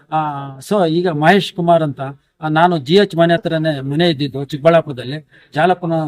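Speaking with an ordinary speaking voice, a man keeps a fairly high pitch and fairly even intonation. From Karnataka, Chikkaballapur district. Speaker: retired school teacher. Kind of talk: interview.

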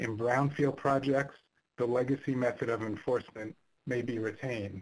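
A somewhat breathy voice at a moderate pace with fairly even intonation. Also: man. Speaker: signaling engineer. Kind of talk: technical presentation.

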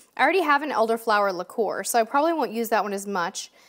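The tone is animated, with very wide pitch swings at a fairly quick pace in an American accent. The background is quiet. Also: woman. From San Diego, California; California. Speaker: cruise vlogger. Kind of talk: live stream chat. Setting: home live stream. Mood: warm, cheerful. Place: studio.

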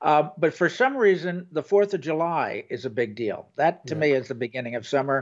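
The background stays quiet. A man talks at a moderate speed. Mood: relaxed, joking. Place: home room.

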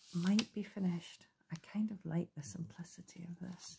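The speaker is soft-spoken. Noticeable background noise is present. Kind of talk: casual craft chat. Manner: soft, hushed ASMR talking. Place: home room.

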